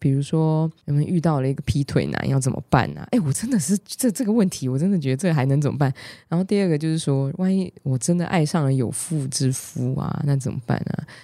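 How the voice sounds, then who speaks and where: A woman with a very deep, low pitch and a dark, mellow tone talks fairly quickly with hardly any pauses and ordinary pitch variation. The recording is very clean, with a silent background. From Taiwan, Hualien. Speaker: podcast host. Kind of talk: casual chat.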